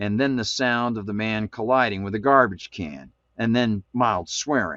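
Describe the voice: Someone is doing plain reading aloud against a quiet background.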